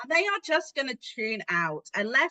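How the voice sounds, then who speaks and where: The voice is raised and projected, bright and sharp in tone, with a dry, close sound and no echo. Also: woman. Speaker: podcast co-host, adult learning specialist. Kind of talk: casual chat. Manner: fast.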